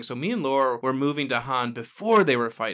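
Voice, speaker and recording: This man has a bright, sharp tone and a fairly quick pace. The recording is very clean, with a silent background. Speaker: board game podcast co-host. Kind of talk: casual chat.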